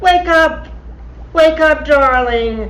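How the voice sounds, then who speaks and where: Using a put-on character voice, a female-sounding voice with a high pitch speaks at a very slow pace over clear background noise. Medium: audio drama. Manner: imperious, theatrical.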